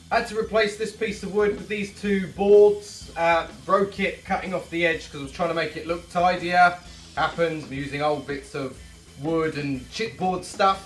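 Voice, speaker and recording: A man's high voice at a moderate pace with ordinary pitch variation and big swings in loudness, amid audible room echo and music in the background. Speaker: DIY vlogger. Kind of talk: casual vlog narration. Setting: garage workshop.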